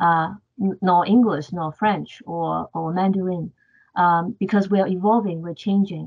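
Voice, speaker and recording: Her voice sits at a medium pitch, and she has a Cantonese accent. The woman keeps a fairly even intonation at a moderate pace. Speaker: professor. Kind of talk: panel discussion. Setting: video call.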